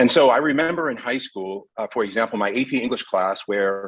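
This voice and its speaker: A man talks at a fairly quick pace in a medium pitch, a normal speaking voice. The sound is dry and close with no echo. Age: 50s. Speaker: educator, candidate interviewed by school board. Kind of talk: interview answer at public board meeting. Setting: school board meeting.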